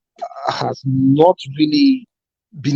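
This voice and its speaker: A man speaks with a dark, mellow tone. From Nigeria. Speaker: caller. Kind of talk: call-in opinion. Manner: hesitant, many fillers.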